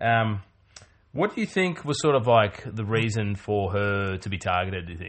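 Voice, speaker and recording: A man talks at a moderate pace in a normal speaking voice. His pitch sits fairly low and varies in an ordinary way. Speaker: podcast host. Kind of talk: casual chat.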